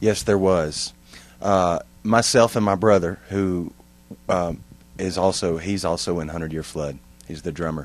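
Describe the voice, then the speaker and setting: A man's very deep, low voice in a Texan accent, fairly slow and fairly even, with long, frequent pauses and music in the background. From East Texas, near Tyler. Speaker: musician, band singer. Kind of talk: interview. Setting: recording studio.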